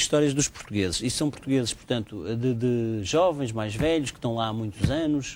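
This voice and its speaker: Using lively intonation, a man with a normal speaking voice talks at a moderate pace. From Portugal. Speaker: TV interviewer. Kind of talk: TV interview.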